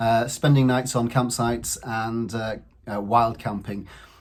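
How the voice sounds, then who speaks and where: Somewhat breathy, a man's voice moves along at a moderate speed. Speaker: channel host introducing the videos. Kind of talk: channel intro to camera.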